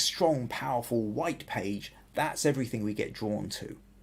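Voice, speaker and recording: With a southern English accent, a man speaks in a somewhat breathy voice with ordinary pitch variation. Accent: southern English, fairly generic. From southern England and Wales. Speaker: photography podcast host. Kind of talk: photo critique livestream. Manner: hesitant, many restarts.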